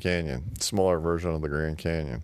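A man with an American accent speaks at a very deep, low pitch and a moderate pace. The recording is very clean, with a silent background. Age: 60s. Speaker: guest, host's father. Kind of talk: casual interview. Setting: living room.

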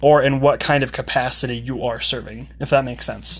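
The man speaks quickly, at a fairly quick pace. He uses an ordinary speaking voice, pitched fairly high. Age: 20s. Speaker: podcast host, aspiring motivational speaker. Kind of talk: casual monologue; closing testimony.

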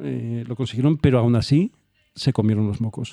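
At a moderate pace, a dark, mellow tone comes through with ordinary pitch variation and a dry, close sound with no echo. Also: man. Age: 40s. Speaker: podcast co-host. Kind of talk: casual chat.

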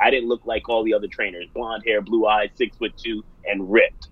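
A man at a fairly quick pace, energetic and animated in tone. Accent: New York. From US. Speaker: fitness studio owner and business coach. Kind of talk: interview. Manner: energetic, animated.

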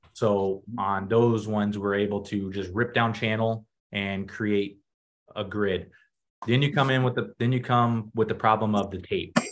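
An ordinary speaking voice from a man with an American accent, fairly low in pitch, at a fairly slow pace with fairly even intonation. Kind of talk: tutorial. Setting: video call.

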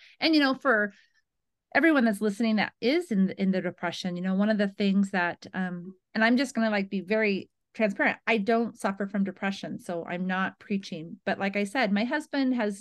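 A woman's medium-pitched voice at a fairly quick pace, with ordinary pitch variation and a quiet background. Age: 40s. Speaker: chronic pain advocate. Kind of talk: interview.

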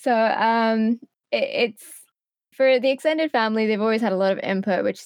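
A plain, everyday voice, fairly quick, with ordinary pitch variation, in a dry, close sound with no echo and a quiet background. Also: woman. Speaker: content creator and streamer. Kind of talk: casual interview chat.

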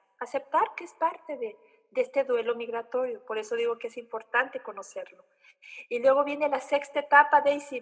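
With a high pitch, a woman talks at a moderate pace and ordinary pitch variation. Her loudness swings widely. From Oaxaca, Mexico. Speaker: psychologist. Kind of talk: explanatory interview.

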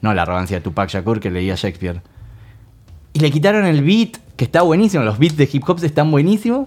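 A man with a Rioplatense accent, fairly high in pitch, at a fairly quick pace, with very wide pitch swings. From Argentina, La Plata. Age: 30s. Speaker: rock musician. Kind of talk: casual chat. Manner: emphatic.

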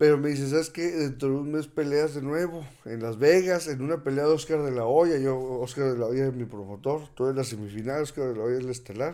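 At a fairly quick pace, a man with a dark, mellow, fairly high voice speaks with ordinary pitch variation. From Torreón, Coahuila, northern Mexico. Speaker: former professional boxer. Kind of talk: interview.

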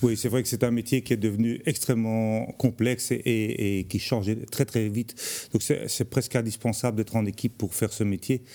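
A man's dark, mellow voice at a moderate pace, monotone and flat, with hardly any pauses. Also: medium pitch for a man, very even loudness. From Belgium, Charleroi. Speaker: architect. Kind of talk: TV interview. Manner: hesitant, frequent repetitions.

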